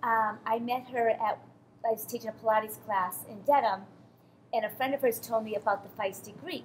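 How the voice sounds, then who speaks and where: A woman's fairly high, somewhat breathy voice in an American accent, fairly quick, with ordinary pitch variation. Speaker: cooking show host and interviewer. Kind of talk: show hosting and interviews.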